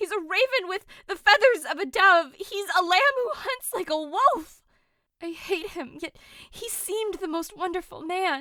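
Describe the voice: In a put-on character voice, a woman speaks at an extremely high pitch with a bright, sharp tone and lively intonation. Her fairly slow delivery has a dry, close sound with no echo.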